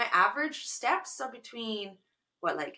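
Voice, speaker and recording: A woman's animated tone with lively intonation. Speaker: podcast co-host. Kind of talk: casual chat.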